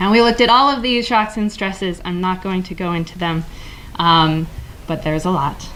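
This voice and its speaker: A woman of medium pitch is heard with audible room echo and noticeable background noise. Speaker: city government official. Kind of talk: conference presentation. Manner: fast.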